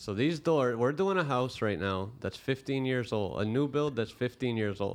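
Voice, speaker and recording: Speaking with hardly any pauses, a man with an unremarkable speaking voice keeps a moderate pace and medium pitch, with lively intonation. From Canada, Brampton, Ontario. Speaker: finish carpenter. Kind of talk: casual chat.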